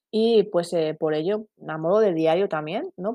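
A woman with a very deep, low pitch and a dark, mellow tone at a fairly slow pace, dry and close with no echo, over a quiet background. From Basque Country, Spain (San Sebastián). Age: 30s. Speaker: podcast host, parenting blogger. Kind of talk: solo podcast monologue. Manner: halting, many fillers.

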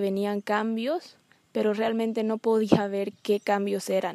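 A woman talks slowly at a fairly high pitch, with a dark, mellow tone. Her intonation is monotone and flat. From Bolivia. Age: 20s. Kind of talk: personal testimony. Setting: outdoors among trees.

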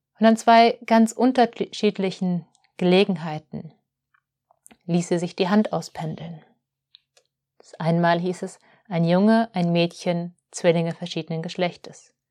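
Speaking in a fairly low pitch, a woman moves at a fairly slow pace with long, frequent pauses, big swings in loudness and ordinary pitch variation. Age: 30s. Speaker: spiritual podcast host, holistic healer. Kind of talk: reflective monologue.

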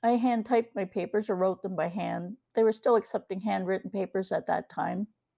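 With vocal fry and a dark, mellow tone, a woman talks at a fairly quick pace with hardly any pauses and fairly even intonation, in a very clean recording with a silent background and a dry, close sound with no echo. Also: medium pitch for a woman. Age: 60s. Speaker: podcast host and ebook author. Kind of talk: personal opinion monologue.

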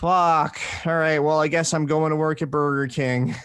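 A man speaks in a normal speaking voice, fairly high in pitch, at a moderate pace against a quiet background. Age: 20s. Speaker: podcast host. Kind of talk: casual chat.

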